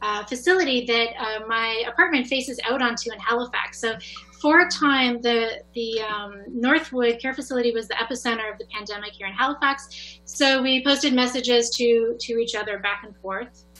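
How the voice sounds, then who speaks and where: Over music in the background, a woman with a high voice talks at a moderate pace with hardly any pauses, ordinary pitch variation and big swings in loudness. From New Brunswick, Canada. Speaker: artist and educator. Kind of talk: artist presentation.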